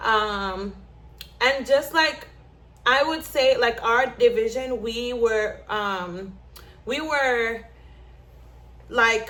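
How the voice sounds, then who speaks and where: Her voice, a woman's, is fairly high in pitch with ordinary pitch variation. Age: 20s. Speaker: navy sailor vlogger. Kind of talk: casual vlog with journal reading. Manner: loud.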